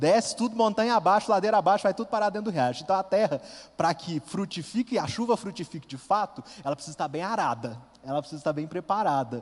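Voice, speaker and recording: Talking very fast with lively intonation, a man uses a high pitch in an interior Minas Gerais accent. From interior of Minas Gerais, Brazil (Furnas region). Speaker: lay preacher, youth group coordinator. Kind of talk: sermon.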